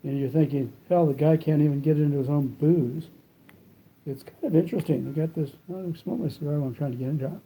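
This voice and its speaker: Very fast, mumbled speech, somewhat breathy, with fairly even intonation. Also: man, fairly high pitch for a man. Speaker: cigar reviewer. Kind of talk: product review vlog. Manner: mumbling with cigar in mouth; casual, halting with fillers.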